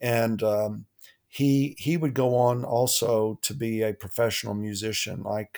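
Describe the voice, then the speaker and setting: At a very slow pace, a man speaks with a medium pitch and fairly even intonation. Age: 60s. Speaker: philosophy professor. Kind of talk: testimony. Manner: halting.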